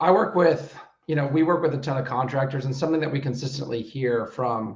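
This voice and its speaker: A man's voice sits at a fairly high pitch with ordinary pitch variation. It is somewhat breathy. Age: 30s. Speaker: business coach. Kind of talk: group coaching call presentation. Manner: casual, energetic.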